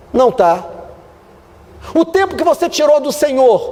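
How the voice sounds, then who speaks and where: Over noticeable background noise, a man speaks at an extremely high pitch with very wide pitch swings. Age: 50s. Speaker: pastor. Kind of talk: sermon. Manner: animated.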